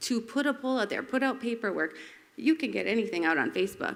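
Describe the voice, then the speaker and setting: A woman's medium-pitched voice with vocal fry and lively intonation at a fairly quick pace, in a very clean recording with a silent background. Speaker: resident speaking at public comment. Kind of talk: public comment at council meeting. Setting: city council meeting. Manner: fast.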